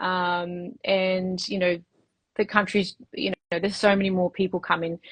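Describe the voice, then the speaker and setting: Over a quiet background, a woman with a somewhat breathy, medium-pitched voice talks at a moderate pace in a flat monotone, the sound dry and close with no echo. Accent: Australian. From Australia. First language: Spanish. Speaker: women's health clinic owner. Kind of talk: interview. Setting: livestream. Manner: hesitant, many fillers.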